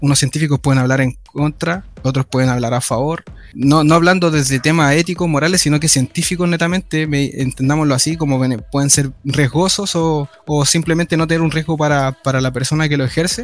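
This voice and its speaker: Over music in the background, a man with a fairly high pitch talks at a fairly quick pace with fairly even intonation. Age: 20s. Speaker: physiotherapy student. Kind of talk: podcast interview.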